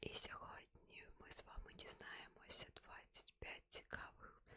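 A woman whispers her words at a very slow pace. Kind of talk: ASMR fact reading. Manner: whispered.

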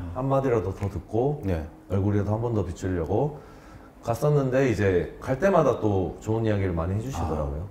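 Over light background noise and audible room echo, a man with a fairly low pitch speaks at a fairly quick pace with lively intonation. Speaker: former pro baseball player, academy owner. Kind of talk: interview answers. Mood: warm reminiscing. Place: studio. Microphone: lapel.

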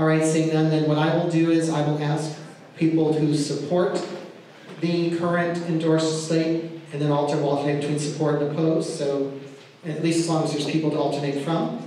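A man speaks in a monotone, flat intonation. Strong room echo and light background noise are present. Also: moderate pace. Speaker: meeting chair. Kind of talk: formal public meeting moderation. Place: meeting room.

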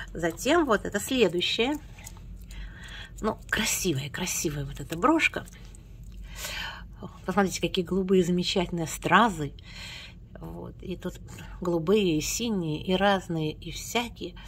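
Against light background noise, a woman speaks at a fairly slow pace with lively intonation, big swings in loudness, and long, frequent pauses. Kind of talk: casual talk to camera. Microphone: phone near.

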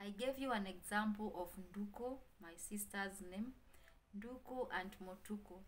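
Light background noise accompanies a woman whose intonation is fairly even. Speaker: vlogger. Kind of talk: casual vlog chat. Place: home room. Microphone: phone near.

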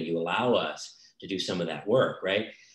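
Audible room echo surrounds the voice. It belongs to a man with a fairly low pitch. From Cajun Louisiana bayou. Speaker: author and professor. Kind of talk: author interview.

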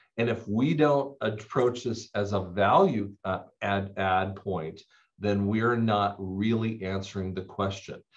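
A man's unremarkable speaking voice, fairly low and fairly slow, with fairly even intonation over a quiet background. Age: 50s. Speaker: audiologist and clinic owner; audiologist debater. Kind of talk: casual debate discussion. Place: home room. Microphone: webcam.

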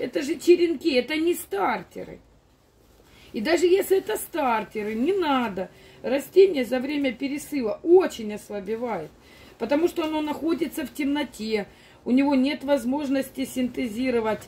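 At a moderate pace, a woman with a high pitch and a dark, mellow tone speaks with lively intonation. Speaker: plant grower vlogger. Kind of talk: casual vlog chat. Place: garden. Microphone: phone near.

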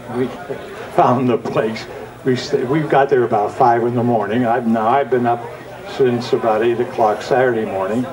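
Over crowd noise in the background, a man talks at a moderate pace with fairly even intonation and very even loudness. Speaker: TV horror host. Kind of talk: interview answer, anecdote. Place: open country. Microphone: handheld.

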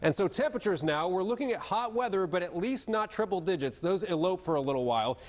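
A man speaks at a very fast pace with hardly any pauses, his high voice swinging very widely in pitch. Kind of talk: weather forecast presentation. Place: studio. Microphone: lapel.

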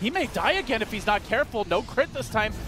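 A man's raised, projected voice, high in pitch, with music in the background. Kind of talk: esports commentary. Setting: broadcast esports commentary over game footage. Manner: excitable, with laughs.

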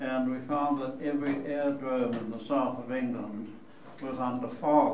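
A man speaks with fairly even intonation. Audible room echo and light background noise surround him. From New Zealand. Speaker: war veteran. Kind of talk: public talk to an audience. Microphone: camera far.

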